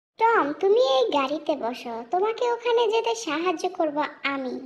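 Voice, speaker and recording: In a put-on character voice, squeaky and extremely high in pitch, the speaker goes at a fairly slow pace. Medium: fan dub. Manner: eager, supportive.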